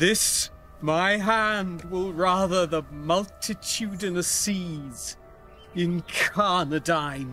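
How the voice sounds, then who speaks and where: A man at a high pitch and a very slow pace, with ordinary pitch variation, a dry sound with no echo, and faint music in the background. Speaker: actor. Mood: intense, haunted. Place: garden.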